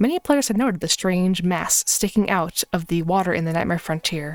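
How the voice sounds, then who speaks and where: The voice has ordinary pitch variation, with music in the background and a dry, close sound with no echo. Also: woman. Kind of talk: lore reading on a live stream. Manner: sometimes fast, occasional stammering.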